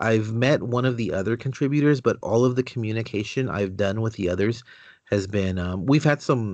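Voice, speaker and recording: A man's unremarkable speaking voice at a moderate pace, with ordinary pitch variation and a quiet background. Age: 30s. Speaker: comic book website writer. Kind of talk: casual interview chat.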